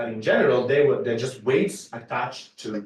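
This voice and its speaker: At a fairly high pitch and a moderate pace, a man talks in a somewhat breathy voice. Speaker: mathematics lecturer. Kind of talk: lecture.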